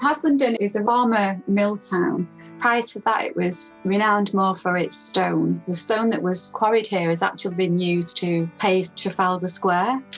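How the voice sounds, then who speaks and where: Over music in the background, a woman with a medium pitch speaks at a moderate pace with ordinary pitch variation and hardly any pauses. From Manchester, England. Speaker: community and social practice artist. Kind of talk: interview answer.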